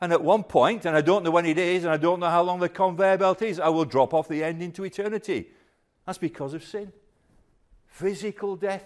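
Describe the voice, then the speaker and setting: Here a man with a high pitch and ordinary pitch variation speaks at a moderate pace. The recording is very clean, with a silent background. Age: 60s. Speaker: pastor. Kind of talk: sermon. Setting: church.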